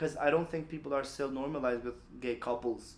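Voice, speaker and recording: This man has an Albanian accent. His pitch moves in an ordinary way. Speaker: LGBTQ activist. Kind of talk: podcast interview. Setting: office.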